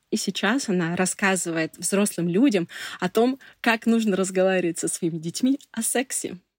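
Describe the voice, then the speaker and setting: With a medium pitch and ordinary pitch variation, a woman speaks at a moderate pace in an unremarkable speaking voice, recorded very clean and dry, close with no echo, against a silent background. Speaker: PR specialist. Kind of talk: personal testimony.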